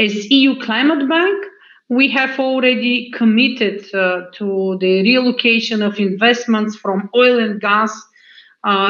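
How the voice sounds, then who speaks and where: A woman's pitch varies in an ordinary way, with a quiet background behind her. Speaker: bank executive opening a panel. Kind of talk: formal opening speech. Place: office. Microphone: video call.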